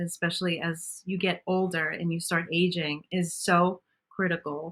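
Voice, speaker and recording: With a Brooklyn accent, a woman speaks at a moderate pace and fairly low pitch in a monotone, flat intonation, with hardly any pauses. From Brooklyn, New York. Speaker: bariatric surgery patient and bodybuilder. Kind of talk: podcast interview.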